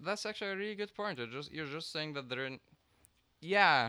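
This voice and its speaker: His pitch swings very widely. The man's tone is bright and sharp. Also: very clean recording, silent background. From Egypt. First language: Arabic. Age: 20s. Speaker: math PhD student. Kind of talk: casual chat.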